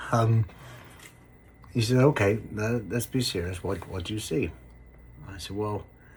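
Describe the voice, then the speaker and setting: The delivery is fairly slow and somewhat breathy, with long, frequent pauses. Pitch variation is ordinary. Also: man, fairly low pitch for a man. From England, Somerset. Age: 60s. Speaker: construction worker sharing illness story. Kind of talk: personal storytelling to camera. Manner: hesitant, many fillers.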